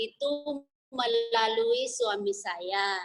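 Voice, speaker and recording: Her voice is a woman's, with a fairly high pitch. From Indonesia. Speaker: businesswoman, former plantation worker. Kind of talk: interview. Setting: video call.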